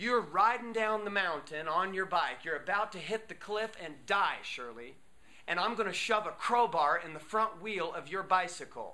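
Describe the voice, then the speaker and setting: Raised and projected, this man's high-pitched voice has a bright, sharp tone, ordinary pitch variation and a moderate pace. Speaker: motivational speaker. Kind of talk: workshop talk. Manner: animated.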